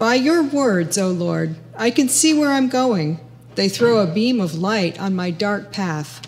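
Delivered at a fairly slow pace, the speech moves through very wide pitch swings. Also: woman. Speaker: lay worship leader. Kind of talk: reading aloud. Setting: church with congregation. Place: church. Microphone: podium.

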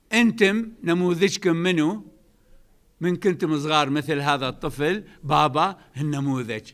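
Fairly slow speech with an Iraqi accent, ordinary pitch variation, and a quiet background. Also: man, fairly high pitch for a man. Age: 70s. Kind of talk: religious talk. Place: hall. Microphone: podium.

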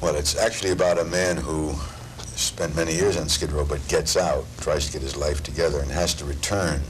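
Noticeable background noise surrounds a man with a very deep, low pitch who talks at a moderate pace. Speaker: actor, interviewee. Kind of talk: interview answer. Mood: warm, thoughtful. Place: studio.

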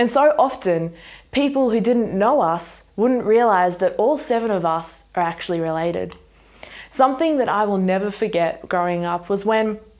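Lively intonation marks this woman's speech. She keeps a moderate pace over a quiet background. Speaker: speaker. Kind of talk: sermon. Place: home room.

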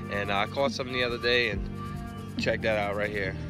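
A man's voice with ordinary pitch variation, dry with no echo, over clear background music. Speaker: angler vlogger. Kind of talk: casual vlog chat. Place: waterside. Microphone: phone near.

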